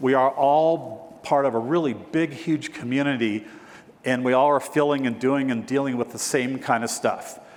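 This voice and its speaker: A man's voice amid noticeable background noise. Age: 60s. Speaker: real estate broker and keynote speaker. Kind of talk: keynote speech. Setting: stage with audience.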